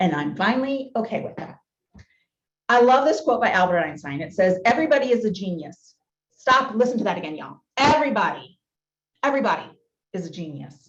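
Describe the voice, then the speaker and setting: A woman with an American accent speaks in an energetic tone at a fairly quick pace, her fairly high pitch swinging very widely and her loudness swinging a lot, with long, frequent pauses and audible room echo. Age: 40s. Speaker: motivational speaker. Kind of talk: keynote talk. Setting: business luncheon meeting, hybrid.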